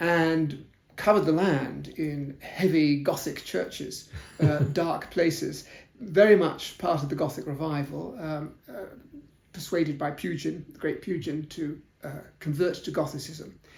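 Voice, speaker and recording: Over noticeable background noise and audible room echo, a man with a southern English accent speaks fairly slowly in a fairly high voice with ordinary pitch variation. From South London, England. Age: 70s. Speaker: historian. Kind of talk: interview. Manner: hesitant, many fillers.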